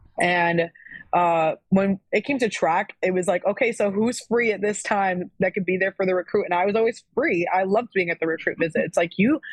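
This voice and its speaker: A woman with an American accent has a normal speaking voice, medium pitch and ordinary pitch variation, at a moderate pace. Her loudness stays very even, and the sound is dry and close with no echo. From Florida. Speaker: former college athlete. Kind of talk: casual chat.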